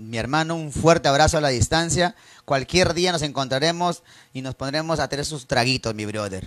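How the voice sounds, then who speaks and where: Pitch varies in an ordinary way, and the tone is animated. The delivery moves at a moderate pace. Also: man, fairly high pitch for a man. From Peru, northern highlands (Cajabamba, raised in Trujillo). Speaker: live-stream host taking listener calls. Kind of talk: late-night adult call-in show.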